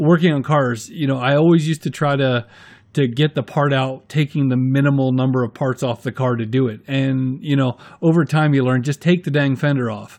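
Over a quiet background, a man with an American accent talks in a plain, everyday voice, fairly high in pitch and at a fairly quick pace. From US Northeast. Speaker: YouTube maker acting as guest interviewer. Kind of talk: casual interview chat.

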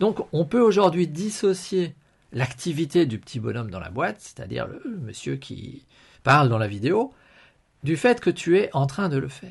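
A man speaks at a fairly slow pace in a fairly high voice with vocal fry, over a quiet background. His pitch swings very widely and his loudness shifts a lot. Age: 50s. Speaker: podcast host and financial/health coach. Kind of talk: live-stream monologue. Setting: live video stream.

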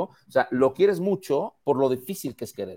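Speaking with a Mexican accent, a man has a fairly high pitch. The recording is very clean and the background silent. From Mexico. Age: 50s. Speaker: advertising executive. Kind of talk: casual chat.

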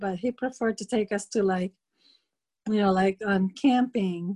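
In a very clean recording with a silent background and a dry, close sound with no echo, a woman speaks at a moderate pace, somewhat breathy, with a dark, mellow tone and fairly even intonation. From Philippines. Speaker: immigrant interviewee. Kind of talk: interview recollection. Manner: laughs often.

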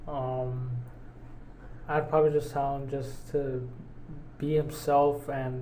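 Heard over noticeable background noise and audible room echo, a man talks at a very slow pace. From Mexican-American, US. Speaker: podcast co-host. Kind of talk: casual chat. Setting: studio.

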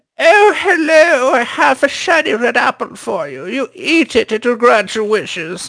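In a put-on character voice, the speaker talks at a moderate pace with hardly any pauses, pitched fairly high and swinging very widely up and down. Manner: sweetly sinister.

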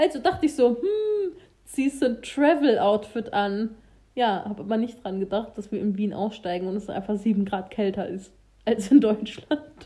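Over noticeable background noise, a woman speaks at a moderate pace in a fairly high voice with lively intonation. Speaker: podcast co-host, student. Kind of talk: casual chat.

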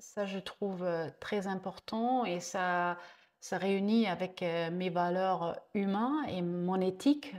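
A woman at a medium pitch with ordinary pitch variation, speaking at a very slow pace on a very clean recording with a silent background. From Germany, Franconia (northern Bavaria). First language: German (speaking French). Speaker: ecotourism entrepreneur. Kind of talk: interview conversation. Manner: halting, with repetitions.

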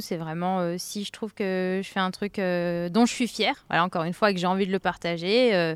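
She has a normal speaking voice, with medium pitch and fairly even intonation. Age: 30s. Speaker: account manager and podcaster. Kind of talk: casual chat.

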